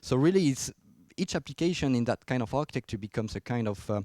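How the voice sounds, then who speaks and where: A man with a French accent has a dark, mellow tone. The recording is very clean with a silent background and a dry, close sound with no echo. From France. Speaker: software engineer, conference speaker. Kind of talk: technical conference talk. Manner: hesitant, many fillers.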